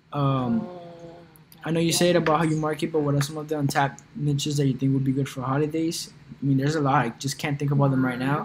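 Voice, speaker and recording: A man's fairly high voice at a very fast pace, fairly even in intonation, over noticeable background noise. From Colombia. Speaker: e-commerce YouTuber. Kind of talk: livestream Q&A. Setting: live stream. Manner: casual, filler-heavy.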